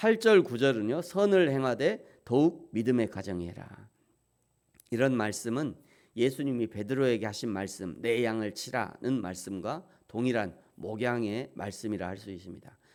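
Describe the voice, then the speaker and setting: An unremarkable speaking voice from a man at medium pitch, with lively intonation, big swings in loudness and a fairly slow pace, on a very clean recording with a silent background. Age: 50s. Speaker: pastor. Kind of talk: sermon.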